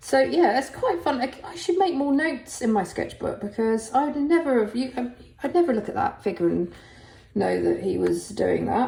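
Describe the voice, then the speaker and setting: A woman with a southern English accent speaks in a relaxed tone, her pitch swinging very widely. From England, Essex. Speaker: artist. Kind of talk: casual tutorial-style sketchbook tour. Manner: relaxed, hesitant with many fillers; slow-paced.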